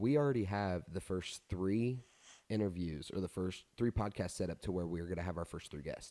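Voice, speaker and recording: Very deep and low in pitch with a dark, mellow tone, a man speaks on a very clean recording with a silent background. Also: ordinary pitch variation, moderate pace. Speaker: podcast host. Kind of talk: casual chat. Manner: stuttering.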